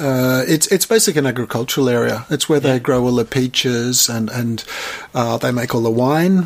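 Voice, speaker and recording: Amid noticeable background noise, a man talks at a fairly quick pace and medium pitch with ordinary pitch variation. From Australia, Melbourne. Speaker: artist. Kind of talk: casual chat. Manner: halting.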